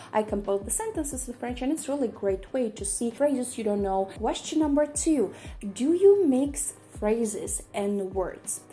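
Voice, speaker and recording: Through noticeable background noise, a woman speaks at a moderate pace. Her high pitch makes very wide swings. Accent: Russian. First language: Russian. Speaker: polyglot YouTuber. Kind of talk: casual vlog Q&A. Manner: hesitant, frequent fillers.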